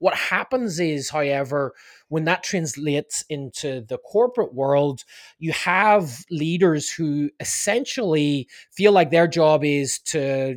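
Speaking with a Northern Irish accent and lively intonation, a man with a fairly high pitch comes through on a very clean recording with a silent background and a dry, close sound with no echo. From Northern Ireland, Belfast. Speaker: leadership consultant and author. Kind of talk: interview.

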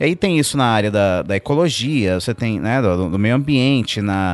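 A man with a normal speaking voice talks at a moderate pace with lively intonation against a quiet background. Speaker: pastor. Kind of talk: casual chat. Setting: studio.

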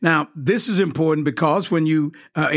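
A normal speaking voice from a man, fairly high in pitch, with fairly even intonation at a moderate pace. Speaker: mayor. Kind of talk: formal interview.

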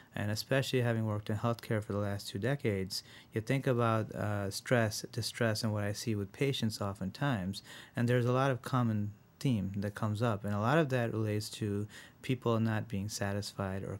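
At a moderate pace, a man talks in an unremarkable speaking voice with a fairly low pitch. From Rochester, New York (born in India, moved at seven). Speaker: physician, integrative medicine director. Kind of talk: interview.

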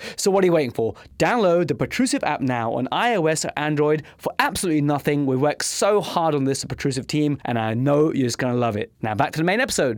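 With hardly any pauses, a man talks at a very fast pace with a fairly high pitch and lively intonation. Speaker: podcast host, intros and ads. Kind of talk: scripted intro and promo.

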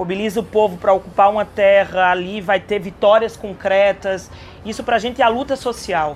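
At a fairly quick pace, a woman talks in a normal speaking voice, medium in pitch with fairly even intonation. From Caruaru, Pernambuco, Brazil. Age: young. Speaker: state legislator. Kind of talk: interview. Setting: agrarian reform fair.

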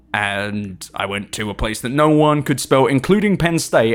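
A man with an English accent and lively intonation in a very clean recording with a silent background. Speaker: tech PR person, podcast guest. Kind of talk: casual chat. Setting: studio.

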